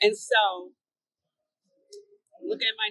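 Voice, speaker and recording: Fairly slow female speech in a dry, close sound with no echo. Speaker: fashion vlogger. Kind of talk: casual talk to camera.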